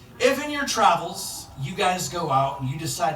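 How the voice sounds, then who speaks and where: A man talks with an American accent, and audible room echo surrounds his voice. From Cleveland, Ohio. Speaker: stand-up comedian. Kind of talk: stand-up. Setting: stage with audience.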